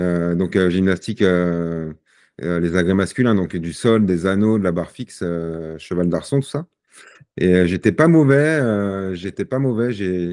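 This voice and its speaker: Here a man talks at a fairly slow pace with a very deep, low pitch. The background is quiet. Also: ordinary pitch variation. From Paris region, Seine-Saint-Denis; Paris region. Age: 40s. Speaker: sportsman with Parkinson's disease; podcast guest. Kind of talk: podcast interview. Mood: calm, reflective. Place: home room. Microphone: video call.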